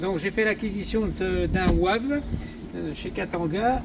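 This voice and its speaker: A man with a high voice speaks fairly slowly with ordinary pitch variation. Background noise is noticeable. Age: 60s. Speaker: retired campsite owner, cyclist. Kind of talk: self-introduction video. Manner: halting, hesitant.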